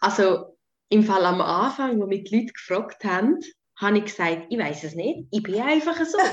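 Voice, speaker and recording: Speaking at a moderate pace in a Swiss accent, a woman uses a medium pitch with very wide pitch swings. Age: 20s. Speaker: nurse and coach. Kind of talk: casual interview.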